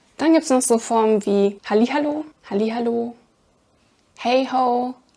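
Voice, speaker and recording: A woman speaks at a fairly slow pace in a high pitch, her tone dark and mellow, her loudness very even and her pitch varying in an ordinary way. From Germany, Aachen (Rhineland). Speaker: language teacher. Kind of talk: tutorial. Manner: unscripted, conversational.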